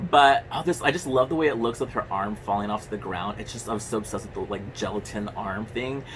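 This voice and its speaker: A man's animated, very fast delivery with hardly any pauses, medium pitch, ordinary pitch variation and big swings in loudness over background music. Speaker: horror movie youtuber. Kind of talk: casual movie review monologue.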